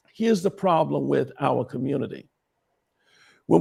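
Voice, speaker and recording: A man's dark, mellow voice carries vocal fry and very wide pitch swings. The recording is very clean, with a silent background. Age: 60s. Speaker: bishop and prophet. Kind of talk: interview conversation. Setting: live stream.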